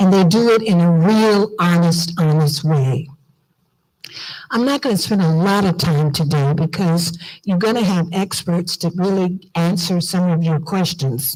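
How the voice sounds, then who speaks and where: A woman with an American accent talks at a fairly slow pace in a fairly low, somewhat breathy voice with a dark, mellow tone, ordinary pitch variation and very even loudness. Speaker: diaspora organization leader. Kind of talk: conference speech. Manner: animated.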